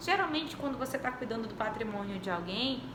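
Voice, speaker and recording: Noticeable background noise and audible room echo around a woman speaking with ordinary pitch variation. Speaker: law professor. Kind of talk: lecture.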